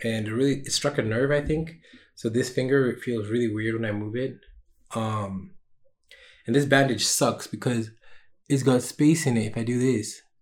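A man talks at a moderate pace with a medium pitch and fairly even intonation. His speech has long, frequent pauses. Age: 20s. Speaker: solo podcaster and small streamer. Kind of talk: casual solo vlog monologue. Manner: casual with frequent fillers.

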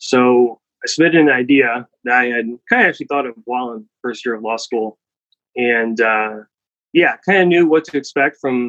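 A man speaks with a Midwestern US accent. The sound is dry and close, with no echo. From US Midwest, Cleveland, Ohio. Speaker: startup founder. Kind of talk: interview.

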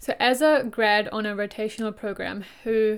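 In a non-native accent, a woman talks at a fairly high pitch with fairly even intonation, in a very clean recording with a silent background. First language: not English. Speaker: podcast co-host, graduate employee. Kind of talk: casual chat.

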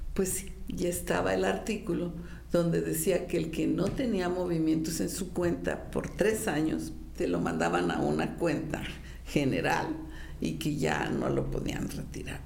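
Fairly slow female speech amid audible room echo, with noticeable background noise. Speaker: retired judge. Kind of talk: commentary to camera. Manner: conversational.

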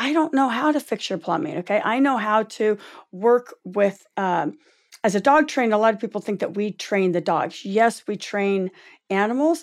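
Here a woman talks in a normal speaking voice. Her intonation is lively and her pace moderate. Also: fairly high pitch for a woman. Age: 50s. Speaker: animal talent agent and dog trainer. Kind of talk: interview.

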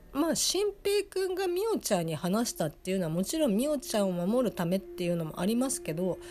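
A woman talks at a very fast pace in a fairly high, somewhat breathy voice, her pitch swinging very widely. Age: 30s. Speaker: anime review podcaster. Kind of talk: solo casual review monologue. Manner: halting, many fillers.

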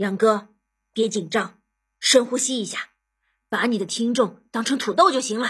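This is an unforced reading voice heard over a quiet background.

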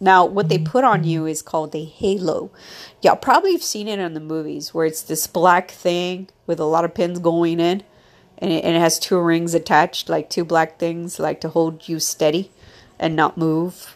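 A woman talks in a normal speaking voice, at a fairly low pitch and a moderate pace with fairly even intonation. The recording is very clean, with a silent background. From US, Mexican-American. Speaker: podcaster with polio. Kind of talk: personal monologue. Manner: casual, rambling with laughs.

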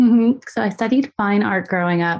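A woman with an American accent speaks at a moderate pace in an unremarkable speaking voice, medium in pitch, with lively intonation. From US Northeast, suburbs of Philadelphia. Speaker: artist and biophilic designer. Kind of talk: interview conversation.

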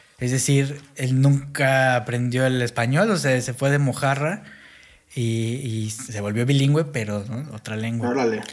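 A man with a Mexico City accent speaks at a fairly slow pace. His pitch is medium and his intonation fairly even. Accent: Mexico City (chilango) Spanish. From Mexico, grew up bilingual English-Spanish. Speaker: podcast co-host. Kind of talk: casual chat.

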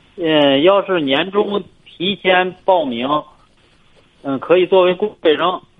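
This man's pitch is high. He speaks at a very slow pace. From Hebei, China. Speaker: caller, parent. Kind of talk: phone-in advice call. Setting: phone call. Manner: halting.

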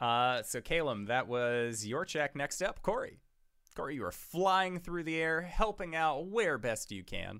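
In a very clean recording with a silent background, a man with a normal speaking voice talks at a fairly slow pace and fairly high pitch. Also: lively intonation. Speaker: dungeon master. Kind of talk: tabletop RPG game session, streamed.

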